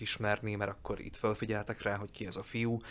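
A man talks in a normal speaking voice, fairly low in pitch, at a moderate pace with fairly even intonation. The recording is very clean, with a silent background. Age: 30s. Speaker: actor and voice actor. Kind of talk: casual interview.

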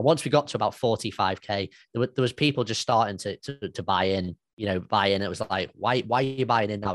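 A man with a British accent talks at a very fast pace, medium in pitch with ordinary pitch variation. The sound is dry and close, with no echo. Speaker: podcast host. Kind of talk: casual chat. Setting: video call.

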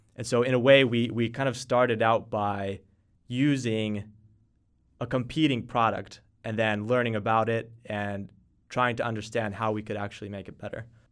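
On a very clean recording with a silent background, a man with an American accent and a medium pitch speaks at a moderate pace in a monotone, flat intonation with big swings in loudness. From Texas. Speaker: startup co-founder. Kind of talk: interview.

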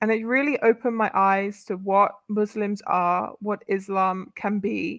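A woman with a British accent at a medium pitch, talking at a fairly slow pace with hardly any pauses. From UK. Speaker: convert to Islam, media professional. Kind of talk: casual chat.

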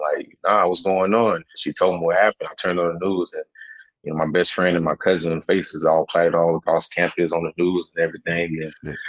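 A man with a Southern US accent, in a dry, close sound with no echo. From South Carolina, US South. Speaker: documentary filmmaker and researcher. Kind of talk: casual chat.

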